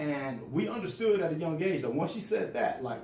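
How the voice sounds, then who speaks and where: Noticeable background noise and audible room echo surround a man's voice. He speaks fairly quickly with lively intonation. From US projects, Mexican-American. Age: 40s. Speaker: storyteller. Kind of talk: casual storytelling. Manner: repetitive, halting restarts.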